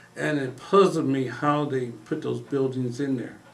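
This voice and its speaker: Amid audible room echo, a man with an American accent speaks at a fairly slow pace with fairly even intonation. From Illinois, Quincy. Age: 60s. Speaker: retired police officer and investigator. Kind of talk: casual interview conversation.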